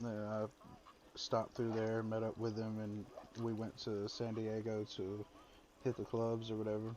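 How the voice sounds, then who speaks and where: A man with a strong Southern US accent talks at a moderate pace and medium pitch. His intonation is monotone and flat, with long, frequent pauses. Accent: heavy Southern accent, picked up in Alabama. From Mississippi. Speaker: army veteran and former truck driver. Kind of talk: casual chat.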